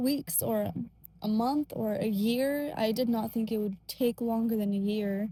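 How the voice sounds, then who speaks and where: A woman's fairly high, somewhat breathy voice with a dark, mellow tone, very even loudness and a fairly slow pace. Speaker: faith vlogger. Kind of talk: casual monologue. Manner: gentle, soft-spoken; hesitant, many fillers.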